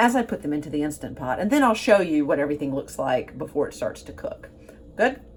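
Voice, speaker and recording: A woman with a Southern US accent, vocal fry and very wide pitch swings. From US Gulf Coast. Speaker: cooking show host. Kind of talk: cooking tutorial. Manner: warm, chatty.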